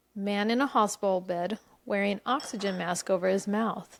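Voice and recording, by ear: Read aloud in a natural voice, the passage moves with fairly even intonation.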